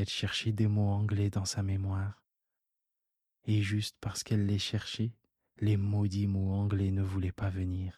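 A man's dark, mellow, gentle, soothing voice, somewhat breathy and fairly low in pitch, in monotone, flat intonation at a fairly slow pace with long, frequent pauses, in a very clean recording with a silent background. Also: very even loudness. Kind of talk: bedtime story read aloud, soothing scripted narration. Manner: slow, soft-spoken, gentle and soothing, with tender voices for the child characters.

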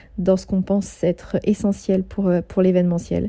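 A woman speaks at a medium pitch in a dark, mellow, somewhat breathy tone, with monotone, flat intonation. Her pace is fairly quick, and the recording is very clean with a silent background. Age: 30s. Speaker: podcast host and event organizer. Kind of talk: monthly update monologue.

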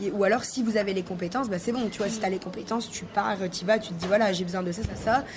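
The speech comes at a very fast pace with fairly even intonation. Audible room echo and noticeable background noise accompany it. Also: woman. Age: 20s. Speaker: web designer and entrepreneur. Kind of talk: interview.

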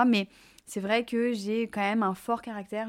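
Against a silent background in a very clean recording, a woman speaks at a fairly slow pace. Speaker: fashion influencer and entrepreneur. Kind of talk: interview. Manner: spontaneous.

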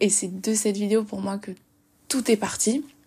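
A woman talks very slowly, her medium-pitched voice somewhat breathy and her intonation fairly even. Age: 20s. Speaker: podcast host and social media writer. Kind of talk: casual monologue. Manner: halting.

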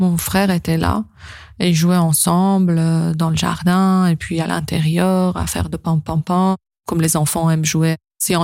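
Using fairly even intonation, a woman speaks at a fairly slow pace with a fairly low pitch. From northern Iran. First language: Persian (speaking French). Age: 30s. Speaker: interviewee sharing life story. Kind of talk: personal testimony.

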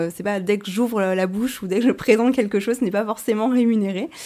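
A woman speaks at a fairly quick pace. Her tone is dark and mellow, with fairly even intonation. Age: 30s. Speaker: content creator. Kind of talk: podcast interview.

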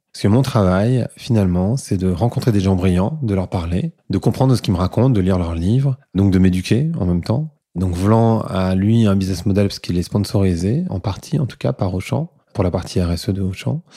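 A man speaks at a moderate pace with lively intonation, his fairly low voice dark and mellow, on a very clean recording with a silent background. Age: 40s. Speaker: entrepreneur and podcast host. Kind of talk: interview conversation.

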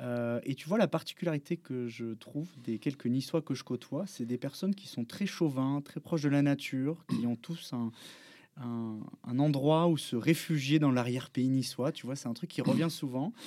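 Speaking at a moderate pace on a very clean recording with a silent background, a man has a fairly high pitch, a dark, mellow tone and ordinary pitch variation. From Bordeaux, France. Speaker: podcast host. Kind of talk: casual interview. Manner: halting.

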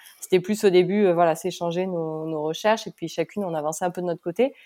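Speaking at a fairly quick pace, a woman has a fairly low pitch and a dark, mellow tone with ordinary pitch variation. The recording is very clean, with a silent background. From Pau, southwest France. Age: 30s. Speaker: magazine co-founder. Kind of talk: casual chat.

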